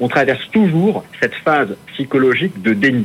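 With lively intonation and medium pitch, a man speaks in a plain, everyday voice. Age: 40s. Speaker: independent financial analyst. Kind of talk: market analysis interview.

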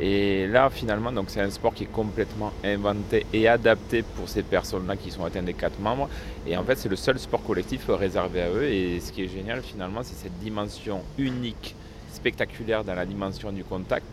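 Through noticeable background noise, a man speaks at a moderate pace with a fairly low pitch and ordinary pitch variation. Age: 30s. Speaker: wheelchair rugby player. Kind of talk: interview.

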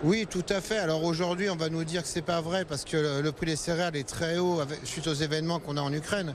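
Noticeable background noise accompanies a man talking at a very fast pace. His pitch is fairly high for a man and his intonation fairly even. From Val d'Oise, France. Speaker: grain farmer. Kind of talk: interview. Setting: agricultural trade fair.

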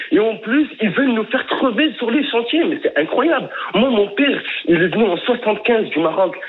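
Over noticeable background noise, a man with a high pitch speaks in an animated tone with lively intonation at a moderate pace. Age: 20s. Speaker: young business owner, caller. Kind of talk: radio phone-in rant. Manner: animated, heated.

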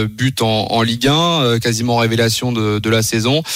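In a plain, everyday voice, a man of medium pitch speaks at a fairly slow pace with ordinary pitch variation. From France, Le Mans area. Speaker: football correspondent. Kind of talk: radio report and analysis.

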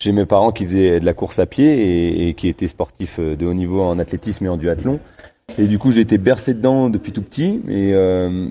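The man's pitch is very deep and low, with ordinary variation. He speaks at a fairly quick pace. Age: 30s. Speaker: elite distance runner. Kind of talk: interview.

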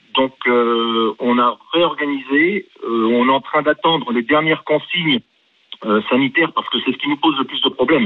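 Using a normal speaking voice, a man speaks at a moderate pace with a fairly high pitch and lively intonation. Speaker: school head. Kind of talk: radio call-in. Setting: phone call. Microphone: poor phone sound.

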